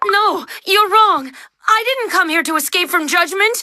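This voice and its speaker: A put-on character voice, female-sounding and extremely high in pitch, at a moderate pace. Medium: video game. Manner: soft, earnest.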